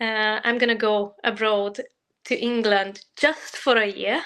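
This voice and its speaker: Speaking at a fairly slow pace, a woman with a Hungarian accent has a fairly high pitch and a bright, sharp tone. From Hungary. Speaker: working holiday traveler. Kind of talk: interview. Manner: halting.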